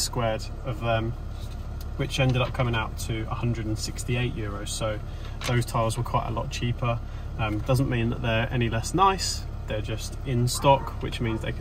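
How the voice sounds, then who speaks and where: A man at a moderate pace, with a dry sound with no echo and noticeable background noise. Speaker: renovation vlogger. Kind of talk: casual vlog chat. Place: car. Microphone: phone near.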